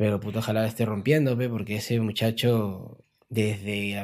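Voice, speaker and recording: This man talks at a moderate pace and medium pitch. His intonation stays fairly even. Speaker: rapper. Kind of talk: casual interview.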